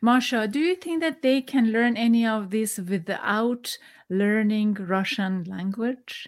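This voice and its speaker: At a fairly slow pace, a woman with a fairly high pitch and a Persian accent speaks with ordinary pitch variation. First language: Farsi. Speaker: podcast host. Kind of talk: interview. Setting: video call. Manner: halting.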